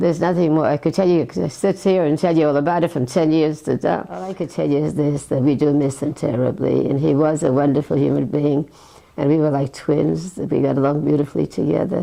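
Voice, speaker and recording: A woman talks at a very fast pace in a very deep, low pitch with vocal fry. Her pitch variation is ordinary. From Eastern Europe. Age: 90s. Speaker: elderly sibling sharing memories. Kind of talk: interview reminiscence. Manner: halting.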